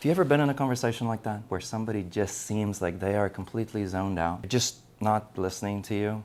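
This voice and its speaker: A man speaks at a very fast pace. The recording is very clean, with a silent background. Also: fairly low pitch for a man, ordinary pitch variation, hardly any pauses. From South Africa. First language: not English. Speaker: acting coach. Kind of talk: tutorial. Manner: casual, conversational.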